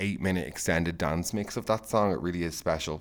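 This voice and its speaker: A very fast pace in an Irish accent, on a very clean recording with a silent background. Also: man. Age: 20s. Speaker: podcast host. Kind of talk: casual monologue. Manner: animated.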